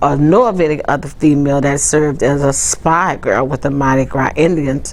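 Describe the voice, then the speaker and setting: Over noticeable background noise and audible room echo, a woman with a New Orleans accent speaks at a moderate pace in a very deep, low voice. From New Orleans, Louisiana. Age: 70s. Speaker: city council staffer and cultural tradition bearer. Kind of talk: oral history interview. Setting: city hall office, on camera. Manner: conversational with frequent fillers.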